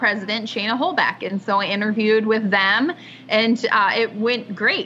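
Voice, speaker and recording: A woman with an American accent speaks at a fairly high pitch against noticeable background noise. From Washington State, US. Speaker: chamber of commerce executive director. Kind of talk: casual interview.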